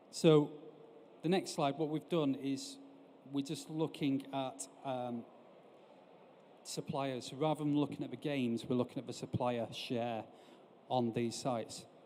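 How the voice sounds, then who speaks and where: In a northern English accent, a man speaks with a fairly high pitch. His tone is dark and mellow, and his intonation stays fairly even. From northern England. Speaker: industry analyst and company director. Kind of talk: conference presentation. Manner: hesitant, frequent fillers.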